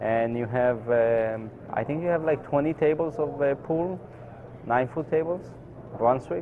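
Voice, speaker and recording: A man keeps a moderate pace with ordinary pitch variation, while noticeable background noise carries on behind him. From Israel, Tel Aviv. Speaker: professional pool player. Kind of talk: interview. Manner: hesitant, many fillers.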